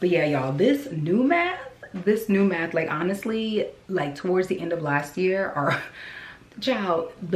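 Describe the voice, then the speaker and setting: Amid noticeable background noise and audible room echo, a woman with a fairly low pitch speaks at a fairly slow pace with lively intonation. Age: 40s. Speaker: vlogger. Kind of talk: casual vlog talk. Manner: animated.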